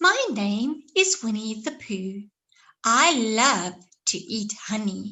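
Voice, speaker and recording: A woman does a put-on character voice at a very slow pace, pitched fairly high. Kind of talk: children's story reading. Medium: read story.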